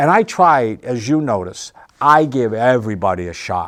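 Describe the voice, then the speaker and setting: Using an unremarkable speaking voice, a man talks at a fairly slow pace with ordinary pitch variation. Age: 60s. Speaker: comedian and musician who runs an open mic. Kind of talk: casual interview.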